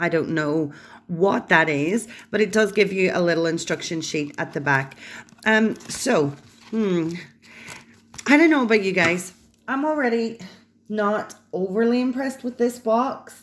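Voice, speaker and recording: A woman at medium pitch with very wide pitch swings, a fairly slow pace and long, frequent pauses. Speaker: unboxing YouTuber. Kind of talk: unboxing video. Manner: hesitant, many ums.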